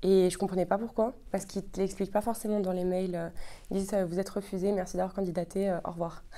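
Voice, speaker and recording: A woman speaks at a very fast pace with a medium pitch. Her tone is dark and mellow, her intonation monotone and flat. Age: 20s. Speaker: psychology graduate student. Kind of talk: testimony. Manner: hesitant, many fillers.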